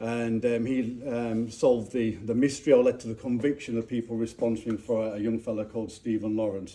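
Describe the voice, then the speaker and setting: A man with a Yorkshire accent speaks fairly quickly at a medium pitch. His tone is dark and mellow, and his intonation is monotone and flat. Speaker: speaker at a clan gathering. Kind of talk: public talk. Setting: castle with live audience. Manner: halting, many fillers.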